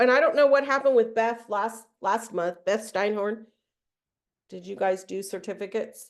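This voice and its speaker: A woman talks at a moderate pace and fairly high pitch, with ordinary pitch variation against a quiet background. Hers is a normal speaking voice, with big swings in loudness. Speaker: trainer. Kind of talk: webinar training.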